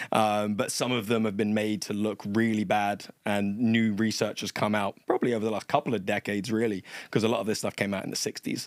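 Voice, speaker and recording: A man with an American accent talks very fast in a fairly low, flat monotone, with a dry, close sound with no echo on a very clean recording with a silent background. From England. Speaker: personal trainer. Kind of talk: podcast interview.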